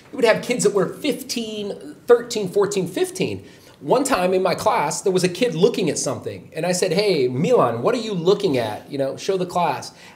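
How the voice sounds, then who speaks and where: A man with an American accent, high pitch, very wide pitch swings, moderate pace, and noticeable background noise. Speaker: show guest, American expat, former English teacher. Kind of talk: casual chat.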